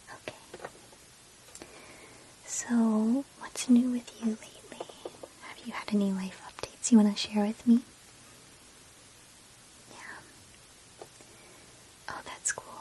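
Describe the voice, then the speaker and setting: The speech moves at a fairly slow pace with long, frequent pauses, over noticeable background noise. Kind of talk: ASMR personal attention role play. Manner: soft-spoken. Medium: role play.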